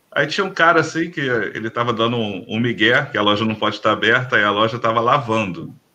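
A man talks at a fairly quick pace with a bright, sharp tone. Vocal fry runs through his voice. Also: quiet background. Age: 40s. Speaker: bushcraft group leader. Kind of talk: casual chat. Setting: live stream.

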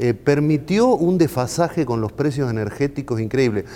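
With a Rioplatense accent, a man speaks in a dark, mellow tone with lively intonation. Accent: Argentine Rioplatense Spanish. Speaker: think tank president. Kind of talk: political talk show discussion. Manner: hesitant, frequent fillers.

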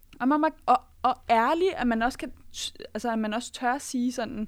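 A woman speaks in a high voice at a moderate pace. Her pitch varies in an ordinary way. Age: 20s. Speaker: podcast panelist. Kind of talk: casual chat. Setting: studio.

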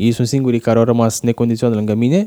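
A man's voice with a dark, mellow tone comes through with a dry, close sound and no echo. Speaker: wheelchair user, former rugby player. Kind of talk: interview.

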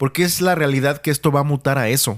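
Very fast speech from a man with a fairly high pitch, dry and close with no echo, on a very clean recording with a silent background. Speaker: podcast host. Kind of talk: casual chat. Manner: slangy, colloquial speech.

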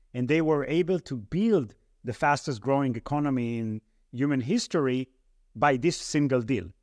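A man with an Israeli accent speaks at a fairly high pitch and moderate pace, his intonation lively, in a dry, close sound with no echo. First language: Hebrew. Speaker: venture capital investor. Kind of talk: interview.

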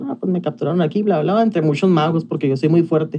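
A man with a Mexican accent speaks at a high pitch with ordinary pitch variation. His tone is dark and mellow. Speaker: podcast co-host. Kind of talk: casual chat.

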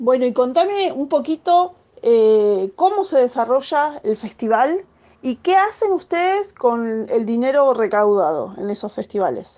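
A woman with an Argentine accent speaks at a high pitch in a dark, mellow tone. Her pace is fairly slow, and her pitch swings very widely. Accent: Argentine Spanish (voseo). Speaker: radio host. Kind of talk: radio interview.

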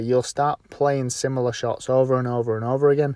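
This man speaks with a British accent. His pitch is fairly high and his pace moderate. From UK. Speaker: golf instructor and podcast host. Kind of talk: solo podcast tutorial. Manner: casual with frequent fillers.

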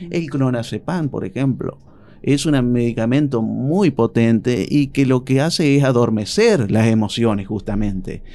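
The voice has a dark, mellow tone and moves at a fairly slow pace. Its pitch varies in an ordinary way. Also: man, medium pitch for a man. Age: 40s. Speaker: psychologist. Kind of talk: radio interview.

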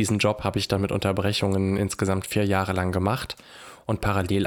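An unremarkable speaking voice from a man, fairly low in pitch and fairly quick in pace, on a very clean recording with a silent background. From Germany, Hanau (Hesse). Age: 20s. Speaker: social worker and anti-racism activist. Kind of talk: interview.

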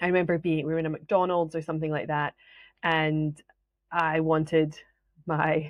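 This woman has a slight Scottish accent. Her voice sits fairly low in pitch. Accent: Scottish, fairly mild. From Scotland. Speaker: business mentor and coach. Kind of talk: solo podcast talk, educational.

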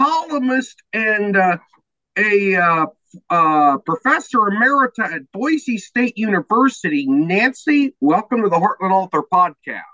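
A man speaks in a high voice with a Midwestern US accent. His pitch swings very widely. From East Central Illinois. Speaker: podcast host and author. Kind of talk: scripted narration; interview.

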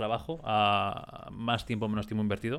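A man's unremarkable speaking voice, medium in pitch and fairly quick in pace. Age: 20s. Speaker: podcast co-host and musician. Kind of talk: casual chat.

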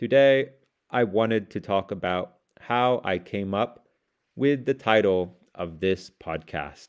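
A man with a fairly low voice delivers his words very slowly. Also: ordinary pitch variation. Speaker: English learning podcaster. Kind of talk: scripted monologue for shadowing practice. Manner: slow, deliberate reading.

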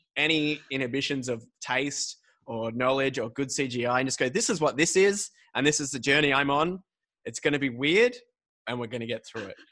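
Speaking at a moderate pace in an Australian accent, a man with a fairly high pitch has a bright, sharp tone and ordinary pitch variation. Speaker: podcast host. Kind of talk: casual chat. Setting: video call.

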